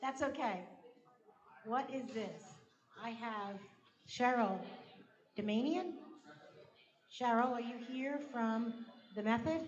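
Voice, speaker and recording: In a room with audible echo, a woman with a fairly high pitch and ordinary pitch variation speaks very slowly, leaving long, frequent pauses. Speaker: event host. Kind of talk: event announcements. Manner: loud.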